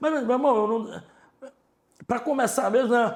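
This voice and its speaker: An animated-toned man with a northeastern Brazilian accent. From Ceará, Brazilian Northeast. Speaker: store manager. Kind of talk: interview, life story. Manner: casual, animated.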